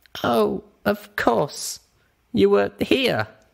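A man performs a put-on character voice. It sits at a medium pitch.

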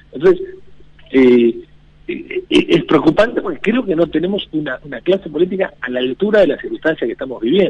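Noticeable background noise runs throughout. A man talks at a fairly quick pace. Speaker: economist. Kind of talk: casual radio interview. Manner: halting.

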